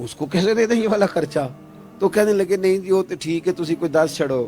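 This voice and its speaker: Music can be heard behind the speech. The man's intonation is lively. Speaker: Islamic preacher. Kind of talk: emotional religious sermon. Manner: passionate, rhetorical, asks questions to audience.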